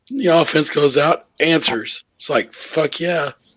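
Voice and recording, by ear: A man uses a put-on character voice that is raspy and hoarse. It sits fairly high in pitch and moves at a fairly slow pace.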